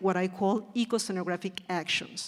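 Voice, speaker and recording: A woman speaks in a Spanish accent with fairly even intonation. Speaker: theatre design educator. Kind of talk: reading aloud. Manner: slow; halting.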